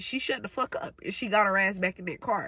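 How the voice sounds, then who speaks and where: A woman projects her raised voice with a bright, sharp tone, speaking at a fairly quick pace in an animated way, the sound dry and close with no echo. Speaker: storytime vlogger. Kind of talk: storytime monologue.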